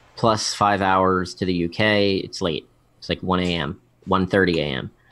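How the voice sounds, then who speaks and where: A man speaks in a very deep, low pitch on a very clean recording with a silent background. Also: fairly even intonation, moderate pace. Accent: American. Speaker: vape show host and guest. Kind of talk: casual chat. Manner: halting, many fillers and restarts.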